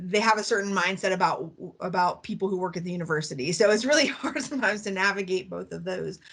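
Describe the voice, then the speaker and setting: A woman talks at a very fast pace at a medium pitch, with ordinary pitch variation. Her voice has vocal fry, and the background is quiet. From Appalachia. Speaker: professor of Appalachian studies. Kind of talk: panel discussion.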